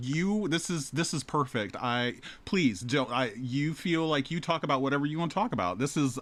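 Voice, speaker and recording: A man speaks in a plain, everyday voice at a fairly high pitch, with lively intonation, a moderate pace and hardly any pauses. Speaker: podcast interviewer. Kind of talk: interview questions.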